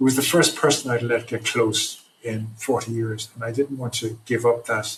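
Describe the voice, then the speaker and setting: This is a man with an Irish accent. His pitch sits in the medium range. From Ireland. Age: 60s. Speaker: trauma recovery program founder. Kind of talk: podcast interview. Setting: remote podcast from home at night.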